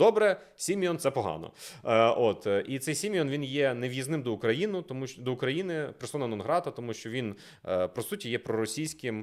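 A man's medium-pitched, animated voice at a moderate pace, with very wide pitch swings, on a very clean recording with a silent background. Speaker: political analyst. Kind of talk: casual discussion.

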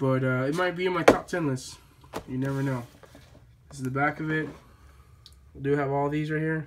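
Moderate pace over noticeable background noise. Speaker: toy collector YouTuber. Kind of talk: casual haul video. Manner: halting, many fillers.

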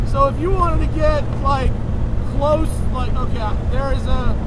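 Loud background noise sits behind speech at a moderate pace, the sound dry with no echo. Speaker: car reviewer driving. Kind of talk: casual car review chat. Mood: enthusiastic. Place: car. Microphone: handheld.

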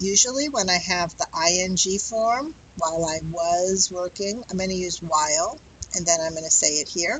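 With light background noise, a woman with a plain, everyday voice speaks at a moderate pace and medium pitch, showing ordinary pitch variation. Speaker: English teacher. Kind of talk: lecture. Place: home room. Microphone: headset.

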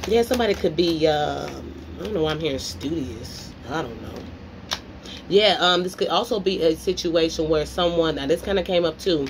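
With noticeable background noise behind her, a woman speaks at a moderate pace in a fairly low pitch, her loudness swinging widely. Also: ordinary pitch variation. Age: 30s. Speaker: tarot reader. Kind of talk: tarot reading monologue. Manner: casual, rambling speech. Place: home room. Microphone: phone near.

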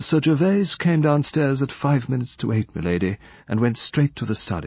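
A man's put-on character voice at medium pitch, slightly husky with vocal fry, big pitch swings and a moderate pace

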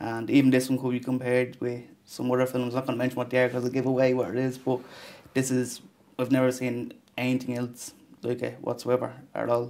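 Here is a man with an Irish accent. He speaks very fast in a monotone, flat intonation. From Ireland. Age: 20s. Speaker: film director. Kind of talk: interview. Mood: thoughtful, modest. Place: studio.

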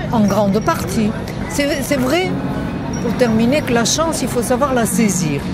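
Loud music plays in the background. A woman talks at a fairly slow pace with long, frequent pauses. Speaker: feminist historian. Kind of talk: interview answer. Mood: calm, reflective. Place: street. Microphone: handheld.

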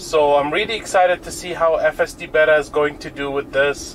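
A man at a moderate pace with fairly even intonation, over light background noise. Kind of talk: casual commentary. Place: car.

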